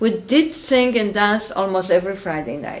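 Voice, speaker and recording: A woman speaks with a Polish accent. Her pace is moderate and her pitch variation ordinary. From Poland. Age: 60s. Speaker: interviewee, Holocaust survivor. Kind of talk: oral history interview.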